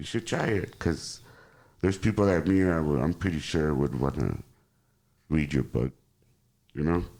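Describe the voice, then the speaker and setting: Heard on a very clean recording with a silent background, a voice with a Spanish accent and vocal fry moves at a moderate pace at a very even loudness, with long, frequent pauses. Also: man, very deep, low pitch for a man, ordinary pitch variation. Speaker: podcast host. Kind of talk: casual interview.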